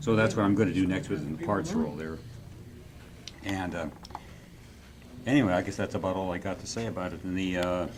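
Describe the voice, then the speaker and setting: Over noticeable background noise and audible room echo, a man with a very deep, low voice talks at a fairly quick pace, with long, frequent pauses. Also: ordinary pitch variation. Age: 80s+. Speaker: scale model builder. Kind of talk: casual show-and-tell at club meeting. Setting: club meeting room with group. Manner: halting, many fillers.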